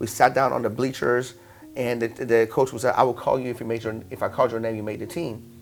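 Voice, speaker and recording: Over music in the background, a man talks very fast in an animated tone at a medium pitch. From Iran, then western Pennsylvania from age 11. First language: Persian. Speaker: fitness entrepreneur. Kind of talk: interview storytelling. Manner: animated, many fillers.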